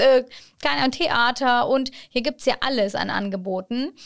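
A woman with a Turkish accent, high in pitch, at a fairly slow pace, with ordinary pitch variation. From born in Hannover, Germany; moved to Çanakkale, Turkey at 11. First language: Turkish (speaking German). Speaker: city ambassador and education counselor. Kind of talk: casual interview.

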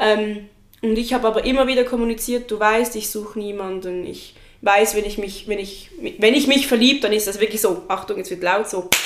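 Against noticeable background noise, a woman talks at a fairly quick pace in a fairly high voice with fairly even intonation. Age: 20s. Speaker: friend of the host. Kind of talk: casual chat. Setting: sitting on the floor in her living room.

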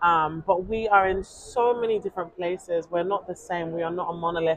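In a London accent, a woman speaks at a moderate pace with a medium pitch and ordinary pitch variation. Background noise is noticeable. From London, England. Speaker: journalist. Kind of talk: interview. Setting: outdoors. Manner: animated.

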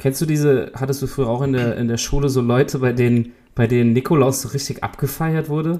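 A man at a medium pitch, very fast in pace, with fairly even intonation. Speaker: podcast co-host. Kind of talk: casual chat.

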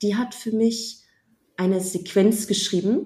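A woman speaks at a fairly slow pace in a somewhat breathy voice. The recording is very clean, with a silent background. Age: 30s. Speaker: app founder. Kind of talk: casual interview.

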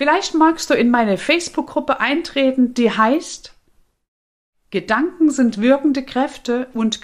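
A woman talks very slowly, her high-pitched voice carrying lively intonation. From Saxony, eastern Germany. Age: 50s. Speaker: life coach and podcast host. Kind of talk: personal life story monologue.

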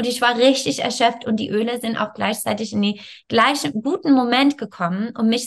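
Talking at a fairly quick pace, a woman uses a fairly high pitch with ordinary pitch variation. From Canada. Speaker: yoga teacher and wellness coach. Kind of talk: interview. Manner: halting.

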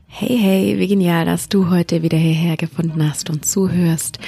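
A woman's very deep, low voice with a soothing, calm tone, ordinary pitch variation and a fairly slow pace. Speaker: yoga teacher and mindfulness coach. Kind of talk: guided meditation. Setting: solo recording for listeners to fall asleep to in bed. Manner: slow, soothing, calm; soft, gentle, hushed.

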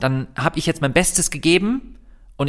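A man's very fast speech with vocal fry. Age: 30s. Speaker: vegan activist and YouTuber, former doctor. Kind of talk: casual interview.

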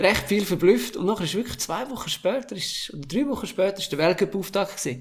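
A man with a Graubünden accent speaks with very wide pitch swings. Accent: Swiss German (Graubünden). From Switzerland, Engadin (St. Moritz). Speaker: former ski jumper. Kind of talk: interview.

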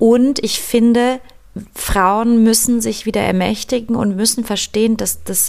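With a fairly high pitch, a woman talks using fairly even intonation. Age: 30s. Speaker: podcast host, yoga teacher and doula. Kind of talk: casual interview chat; scripted outro.

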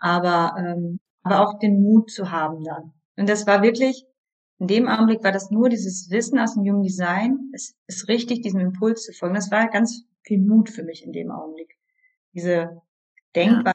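Using a plain, everyday voice, a woman talks at a moderate pace and medium pitch, with ordinary pitch variation and big swings in loudness. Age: 30s. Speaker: yoga teacher and coach. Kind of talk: interview.

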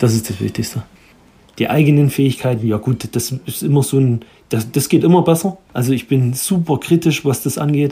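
A man speaks at a moderate pace in a medium pitch, his tone dark, mellow and somewhat breathy, with ordinary pitch variation. The recording is very clean with a silent background. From Erzgebirge, Saxony. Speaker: chef and restaurant owner. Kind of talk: interview.

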